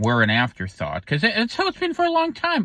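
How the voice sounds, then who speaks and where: Words pour out of a man at great speed. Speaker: political commentator. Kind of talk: casual monologue. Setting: in a parked car. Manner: fast.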